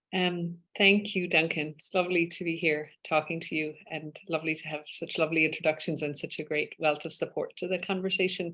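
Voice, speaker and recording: A woman with an Irish accent talks at a fairly quick pace, with hardly any pauses and big swings in loudness. Her fairly low voice has a bright, sharp tone and monotone, flat intonation. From west of Ireland (Spiddal, Connemara). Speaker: law professor and UN human rights expert. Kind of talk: interview.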